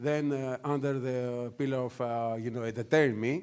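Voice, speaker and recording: Delivered at a moderate pace with a Greek accent, the speech keeps a fairly even intonation. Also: man. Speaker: news media executive. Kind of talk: conference panel talk. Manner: hesitant, many fillers.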